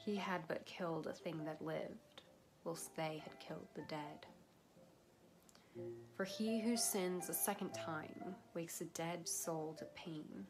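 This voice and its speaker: A woman with a fairly low pitch speaks at a fairly slow pace, leaving long, frequent pauses. Her intonation is lively, and music plays in the background. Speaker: poetry reader. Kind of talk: poetry reading.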